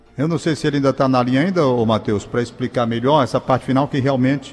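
With noticeable background noise around him, a man talks at a very fast pace and a fairly high pitch. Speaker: radio host. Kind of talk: radio call-in show. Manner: fumbling his words today.

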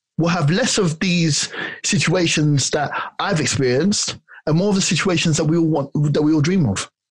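The speaker has a London accent and moves at a moderate pace. The intonation is lively. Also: man. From South London, Ghanaian family. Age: 40s. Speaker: personal trainer. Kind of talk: interview.

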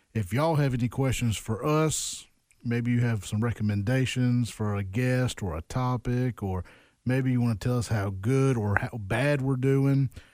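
Recorded very cleanly against a silent background, a man speaks in a Mississippi accent with very even loudness and ordinary pitch variation. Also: medium pitch for a man, moderate pace. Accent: US Southern (Mississippi). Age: 30s. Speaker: podcast host. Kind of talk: casual interview.

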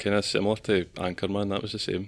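A man with a Scottish accent talks very fast at a fairly low pitch, his intonation monotone and flat. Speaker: podcast host. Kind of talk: casual chat.

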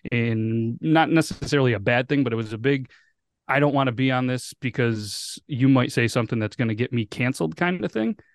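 With a normal speaking voice, a man talks at a fairly quick pace and medium pitch, using ordinary pitch variation, in a dry, close sound with no echo against a quiet background. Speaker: podcast host. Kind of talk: casual chat. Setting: video call.

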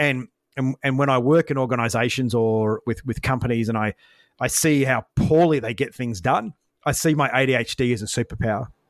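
A man speaks with an Australian accent and ordinary pitch variation. The sound is dry and close with no echo, in a very clean recording with a silent background. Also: medium pitch for a man. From Australia, Brisbane. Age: 40s. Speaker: former fighter pilot and business coach. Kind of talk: interview conversation. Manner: fast.

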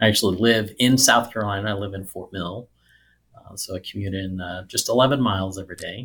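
Using a plain, everyday voice with an American accent, a man speaks fairly quickly at a fairly low pitch, with fairly even intonation and big swings in loudness. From US Midwest (rural Missouri). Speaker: IT executive and army veteran. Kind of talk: interview.

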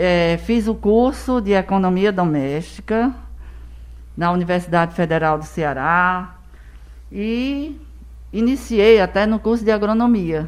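Her intonation is lively, and this woman's pitch sits in the medium range. She talks at a very slow pace. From Brazil, Rio Grande do Norte and Paraíba (Northeast). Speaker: educator and school founder. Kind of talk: casual interview.

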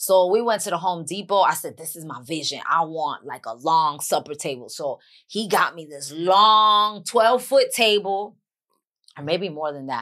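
The speaker has a New York accent and a bright, sharp tone. Intonation stays lively throughout. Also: woman, fairly low pitch for a woman, moderate pace, big swings in loudness. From Bronx, New York. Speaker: actress and author. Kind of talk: casual podcast interview.

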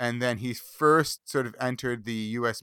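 At a fairly slow pace, a man with a medium pitch and a bright, sharp tone speaks in a dry, close sound with no echo on a very clean recording with a silent background. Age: 30s. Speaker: podcast co-host. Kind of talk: casual chat.

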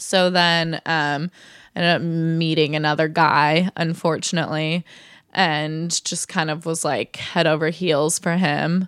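A woman speaks in a Californian accent, fairly low in pitch, with monotone, flat intonation. Her pace is fairly slow, and the sound is dry and close with no echo. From Southern California, Orange County. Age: 20s. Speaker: digital marketer. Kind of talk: casual chat. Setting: host's apartment.

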